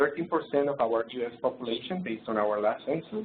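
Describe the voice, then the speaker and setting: A man with a non-native accent at a moderate pace. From Colombia. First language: Spanish. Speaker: presenter. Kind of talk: lecture. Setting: webinar. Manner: hesitant, many fillers.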